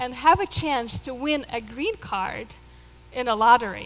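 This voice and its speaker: With a Russian accent, the speaker keeps a moderate pace and ordinary pitch variation. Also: woman. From Russia (Moscow, Soviet Union). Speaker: yoga teacher and spiritual mentor. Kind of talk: inspirational talk. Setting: stage with audience.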